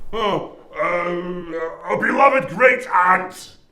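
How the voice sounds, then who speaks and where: Shouting in a put-on character voice, a man holds a high pitch at a very slow pace, with a slight echo around him. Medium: short film. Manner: shouty, insulting.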